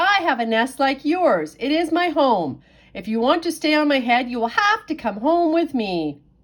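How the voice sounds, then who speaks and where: A put-on character voice, female-sounding and high-pitched, moves at a moderate pace on a very clean recording with a silent background. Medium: read story.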